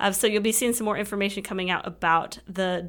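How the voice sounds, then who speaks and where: A woman speaks at a medium pitch with fairly even intonation. It is a plain, everyday voice. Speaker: alumni association president. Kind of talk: casual chat.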